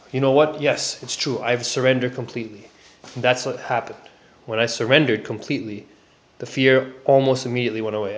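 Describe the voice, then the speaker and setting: A man mumbles at a very fast pace in a medium pitch. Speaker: self-help vlogger sharing personal experience. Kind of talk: personal testimony and advice monologue. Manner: mumbling; hesitant, many fillers.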